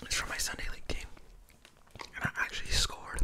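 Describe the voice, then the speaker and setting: A man is whispering. He moves at a fairly quick pace. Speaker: video creator. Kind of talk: casual vlog chat, storytelling. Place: home room. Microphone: studio mic.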